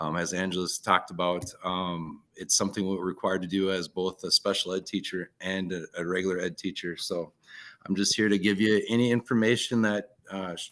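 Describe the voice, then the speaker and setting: Against a quiet background, a man with a Minnesotan accent talks at a fairly quick pace in a very deep, low pitch with monotone, flat intonation. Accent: Minnesota. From northern Minnesota. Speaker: teacher. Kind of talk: online presentation.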